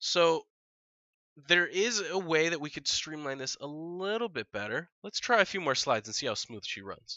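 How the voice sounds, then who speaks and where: A man speaks in a high voice at a moderate pace. His pitch swings very widely. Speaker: technical illustrator. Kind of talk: screen-recorded software tutorial.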